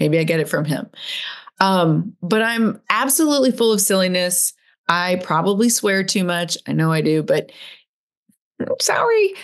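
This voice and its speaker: At a moderate pace, a woman speaks in a medium-pitched voice with an animated tone and lively intonation. Long, frequent pauses break up her speech. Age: 50s. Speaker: podcast host. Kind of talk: solo podcast monologue with personal reflections. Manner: loud, animated performer type.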